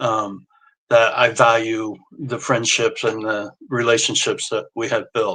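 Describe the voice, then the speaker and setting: In a Midwestern US accent, a man with a bright, sharp tone and medium pitch speaks fairly slowly with monotone, flat intonation. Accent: US Midwest. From rural Indiana, Wabash County. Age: 60s. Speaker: social media influencer. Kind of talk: casual interview.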